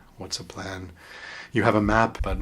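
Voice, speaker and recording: A man speaks in a playful tone. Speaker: radio artist and voice performer. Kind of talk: interview answer. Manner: thoughtful, playful with words.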